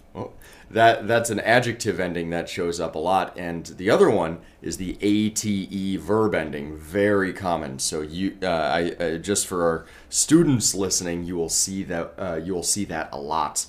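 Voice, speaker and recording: With an American accent, a man speaks at a moderate pace in a very deep, low pitch with ordinary pitch variation. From Colorado, US. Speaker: English teacher. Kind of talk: lecture.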